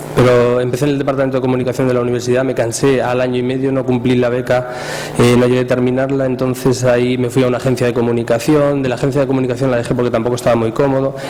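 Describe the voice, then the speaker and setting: This man speaks at a very fast pace in a monotone, flat delivery at medium pitch. Audible room echo and noticeable background noise fill the recording. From Spain, Cuenca. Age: 30s. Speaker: social media speaker. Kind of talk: talk to an audience. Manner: casual, with many fillers.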